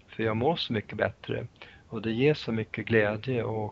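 The man's voice is fairly low in pitch. He talks very slowly. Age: 60s. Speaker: nutrition therapist and author. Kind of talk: interview. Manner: halting.

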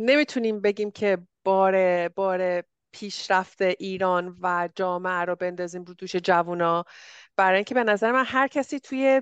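An unremarkable speaking voice from a woman, medium in pitch with ordinary variation, at a moderate pace in a dry, close sound with no echo and a quiet background. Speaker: podcast host. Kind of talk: casual interview chat.

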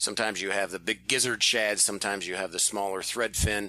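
Bright and sharp in tone, this man's fairly low voice moves at a fairly quick pace. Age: 40s. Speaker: fishing podcast co-host. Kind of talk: casual chat.

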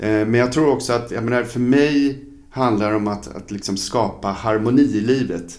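With audible room echo, a man speaks at a moderate pace and medium pitch, his pitch varying in an ordinary way. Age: 50s. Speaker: fencing coach. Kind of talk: casual chat.

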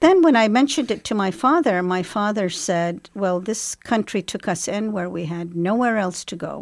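A woman with an Arabic accent speaks at a moderate pace with hardly any pauses. Her medium-pitched voice has lively intonation, on a very clean recording with a silent background. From Iraq (Baghdad), born in England. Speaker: Arabic language lecturer. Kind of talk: interview. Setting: studio. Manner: hesitant, with frequent fillers.

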